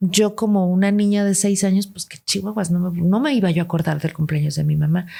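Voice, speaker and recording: At a fairly quick pace, a woman speaks at medium pitch in a somewhat breathy voice with a dark, mellow tone and ordinary pitch variation, recorded very cleanly against a silent background. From Guatemala, raised largely in Mexico City. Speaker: podcast guest. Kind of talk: interview. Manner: animated.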